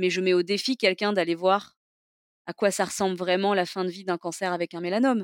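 A woman has a normal speaking voice at a medium pitch, with fairly even intonation and a fairly quick pace. The recording is very clean with a silent background and a dry, close sound with no echo. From southeastern France, Toulon area. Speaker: entrepreneur, cancer survivor. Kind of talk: interview testimony.

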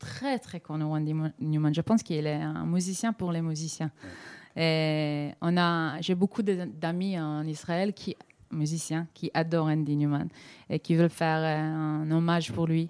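A woman speaks at a fairly slow pace in a fairly low voice with ordinary pitch variation, recorded very cleanly against a silent background. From Israel, Tel Aviv. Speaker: singer-songwriter. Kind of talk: interview. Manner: halting, mixing French and English.

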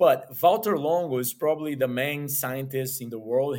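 This man talks in a medium pitch with a Portuguese accent. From Brazil, Rio de Janeiro. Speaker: nutritionist and health coach. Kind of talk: interview. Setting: remote call.

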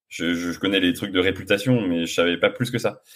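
Here a man has a normal speaking voice. He talks at a moderate pace with ordinary pitch variation. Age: 30s. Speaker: sommelier, sales director. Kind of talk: casual interview. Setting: outdoors in the sun.

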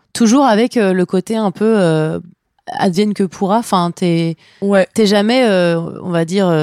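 A woman's dark, mellow voice at medium pitch, fairly slow in pace, very even in loudness, with ordinary pitch variation and a dry, close sound with no echo. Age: 20s. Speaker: podcast host. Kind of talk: scripted narration.

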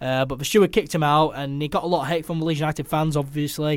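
At a fairly quick pace, a man talks in an unremarkable speaking voice, fairly high in pitch, with fairly even intonation. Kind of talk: casual chat. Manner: overlapping, eager back-and-forth, short interjections.

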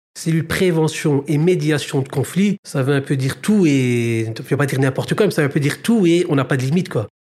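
With a Brussels accent, a man speaks at a moderate pace in a fairly high pitch. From Brussels, Belgium. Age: 30s. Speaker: social mediation worker. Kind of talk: interview.

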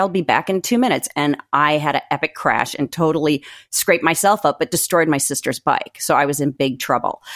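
A woman speaks at a fairly quick pace with an unremarkable speaking voice. The recording is very clean and dry, close with no echo, over a silent background. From US Northeast and Midwest. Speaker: author. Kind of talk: casual chat.

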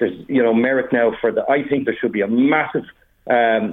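Male voice of medium pitch at a moderate pace, with ordinary pitch variation. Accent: Irish. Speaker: study skills coach. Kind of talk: casual chat. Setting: phone call.

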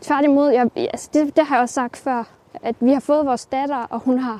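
At a moderate pace, a woman talks in a high voice with fairly even intonation, the sound dry and close with no echo. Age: 20s. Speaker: self-taught ceramicist. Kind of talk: interview while walking. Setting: outdoors, walking.

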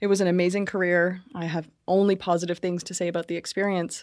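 Speaking very fast, a woman with a Canadian accent keeps her intonation fairly even at a medium pitch. The recording is very clean with a silent background. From Brantford, Ontario, Canada. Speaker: business consultant. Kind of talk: casual interview. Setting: studio.

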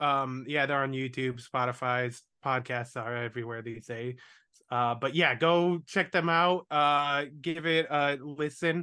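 Pitched fairly high, this man has a plain, everyday voice whose pitch moves in an ordinary way. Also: fairly slow pace. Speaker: podcast host. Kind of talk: casual chat. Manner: rambling, self-deprecating, profane.

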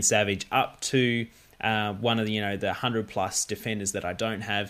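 A man with an Australian accent speaks at a moderate pace, his fairly low voice bright and sharp in tone. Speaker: fantasy football podcast host. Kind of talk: casual chat.

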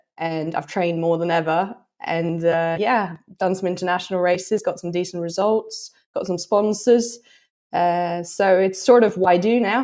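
A woman's medium-pitched voice with a Norwegian accent, fairly even intonation and a moderate pace. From Norway. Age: 30s. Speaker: trail and fell runner. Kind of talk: interview.

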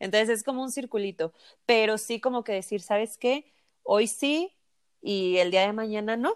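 A woman with a Mexican accent speaks at a moderate pace in a fairly high voice. Her pitch varies in an ordinary way, and the sound is dry and close with no echo. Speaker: nutritionist podcast co-host. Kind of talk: casual chat.

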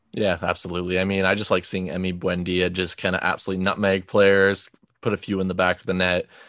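Over a quiet background, a man speaks at a very fast pace in a very deep, low voice with monotone, flat intonation. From outside England. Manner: casual, filler-heavy.

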